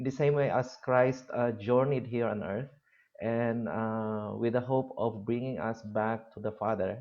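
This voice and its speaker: A man with a Philippine accent, medium pitch and fairly even intonation. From Philippines, Abra province (Ilocos region). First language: Ilocano. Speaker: university lecturer. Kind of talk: lecture. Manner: halting, many fillers.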